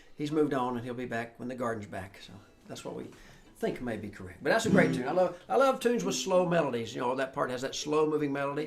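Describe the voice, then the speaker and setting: Over music in the background and audible room echo, a man with a Southern US accent talks at a very fast pace with lively intonation. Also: medium pitch for a man, big swings in loudness. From US South. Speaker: old-time musician leading a slow jam. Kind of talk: casual chat. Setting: livestream video call.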